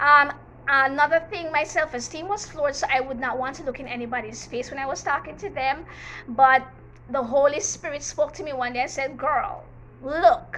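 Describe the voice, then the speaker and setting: A woman with a high pitch talks at a moderate pace in an animated tone, her pitch varying in an ordinary way and her loudness swinging widely over noticeable background noise. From Jamaica, Manchester parish. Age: 40s. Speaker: teacher and YouTuber. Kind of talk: storytime vlog, personal testimony. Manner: animated, emphatic.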